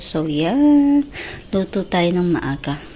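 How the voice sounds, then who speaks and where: A soft-spoken woman with monotone, flat intonation. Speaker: vlogger. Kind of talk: casual vlog. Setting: at home.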